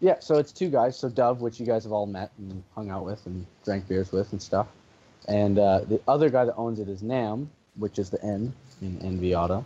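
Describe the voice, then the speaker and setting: A man with a Canadian accent, fairly low pitch, a dark, mellow tone, ordinary pitch variation and a moderate pace. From Canada. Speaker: drift racing driver. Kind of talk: podcast interview answer. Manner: soft-spoken.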